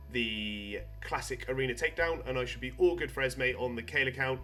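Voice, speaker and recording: Music is playing in the background. A man speaks over it at a moderate pace. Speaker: gaming YouTuber. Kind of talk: casual gameplay commentary.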